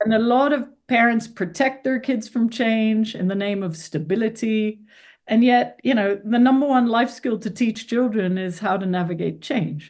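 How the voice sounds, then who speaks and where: Against a quiet background, a woman speaks in an ordinary speaking voice, fairly high-pitched with ordinary pitch variation. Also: moderate pace. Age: 50s. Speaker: author and change expert. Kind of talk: interview.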